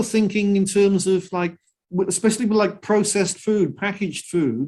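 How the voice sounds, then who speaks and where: Moderate pace in a Welsh accent. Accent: Welsh (Cardiff) English. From Wales (Cardiff). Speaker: singer-songwriter and environmentalist. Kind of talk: interview. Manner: halting, many repetitions.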